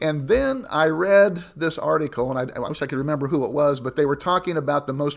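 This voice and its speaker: The speaker has a Midwestern American accent and ordinary pitch variation. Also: man. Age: 60s. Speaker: pastor. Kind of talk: interview.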